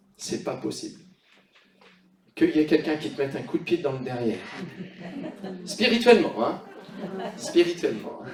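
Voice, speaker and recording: A high-pitched man's voice at a moderate pace, with very wide pitch swings, big swings in loudness, long, frequent pauses and audible room echo. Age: 60s. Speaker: pastor. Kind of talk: sermon. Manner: animated.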